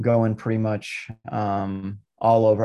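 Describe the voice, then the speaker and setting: Against a quiet background, a man with a dark, mellow tone and fairly low pitch speaks at a fairly slow pace in a monotone, flat intonation. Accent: American. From Massachusetts, Lynn. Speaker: firearms instructor and Marine veteran. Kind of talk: casual interview.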